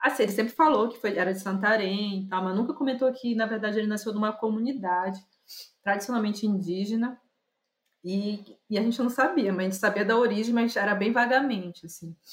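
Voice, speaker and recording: A woman with a fairly high, somewhat breathy voice talks at a fairly quick pace. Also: ordinary pitch variation. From Brazil, Pará (Belém). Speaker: visual artist and curator. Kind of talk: casual interview. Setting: remote call.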